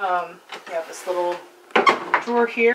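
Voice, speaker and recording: A woman keeps a moderate pace, with light background noise behind her. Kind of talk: casual vlog chat. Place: home room. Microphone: camera far.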